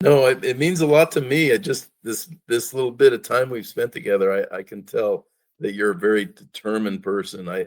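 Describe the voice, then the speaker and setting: At a fairly quick pace, a man talks in an ordinary speaking voice of medium pitch with lively intonation. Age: 60s. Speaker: company president interviewing employee. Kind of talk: casual interview.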